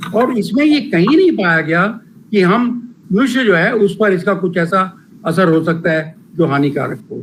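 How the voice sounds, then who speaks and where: The voice belongs to a man and sits high in pitch. Lively intonation runs through what he says. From Punjab, India. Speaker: professor. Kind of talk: lecture Q&A discussion. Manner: halting, many fillers.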